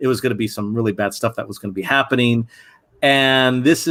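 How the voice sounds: A natural reading voice carries the text, its pitch shifting in ordinary fashion.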